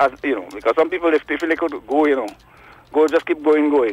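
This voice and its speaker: Over noticeable background noise, a man talks at a fairly quick pace in a dry, close sound with no echo. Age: 60s. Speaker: caller, construction worker. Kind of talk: call-in opinion.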